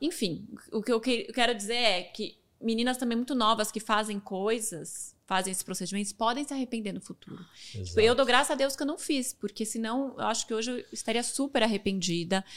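An unremarkable speaking voice from a woman, fairly high in pitch with ordinary variation, at a fairly quick pace, in a very clean recording with a silent background. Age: 30s. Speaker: fashion influencer and entrepreneur. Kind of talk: casual interview chat.

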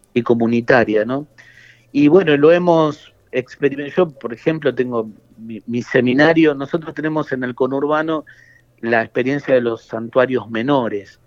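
At a moderate pace, a man with a normal speaking voice talks at a medium pitch with ordinary pitch variation. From Argentina, Buenos Aires suburbs (Quilmes). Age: young. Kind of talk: interview. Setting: phone call.

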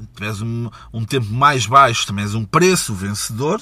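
A man's animated, bright and sharp voice at a medium pitch, fairly slow, with ordinary pitch variation and a European Portuguese accent. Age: 30s. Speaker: podcast host. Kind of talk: casual monologue. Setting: mobile studio.

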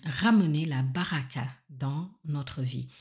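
On a very clean recording with a silent background, a woman speaks at a very slow pace with a very deep, low pitch, a somewhat breathy voice and ordinary pitch variation. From Senegal. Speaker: podcast host. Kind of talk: spiritual teaching monologue.

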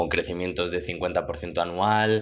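A man with a very deep, low voice. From Spain, Madrid. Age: 30s. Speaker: food startup founder. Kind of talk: interview.

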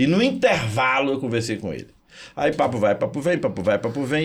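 At a fairly quick pace, a man delivers his words with vocal fry. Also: very clean recording, silent background. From Minas Gerais, Brazil (Zona da Mata). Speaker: physics teacher and motivational speaker. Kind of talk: interview. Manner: animated.

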